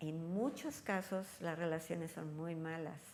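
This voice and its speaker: A woman is talking here. Her pace is fairly slow. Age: 60s. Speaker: elder care expert. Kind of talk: interview. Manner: conversational.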